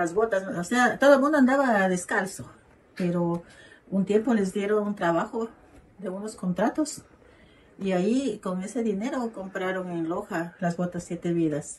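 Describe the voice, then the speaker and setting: In an unremarkable speaking voice, a woman talks at a fairly slow pace with medium pitch and ordinary pitch variation. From Ecuador, southern Amazon region (Zamora Chinchipe). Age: 60s. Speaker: local elder interviewee. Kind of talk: interview testimony.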